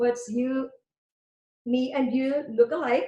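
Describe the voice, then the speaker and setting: Her tone is animated and her pitch high. The woman speaks with a Filipino accent. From Philippines (Leyte, Visayas). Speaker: emergency nurse and nursing educator. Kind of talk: webinar presentation. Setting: online webinar.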